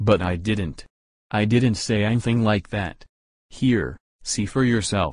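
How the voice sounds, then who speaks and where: In a growling, put-on character voice, a man speaks at a fairly slow pace with a fairly low pitch and ordinary pitch variation. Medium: audio drama.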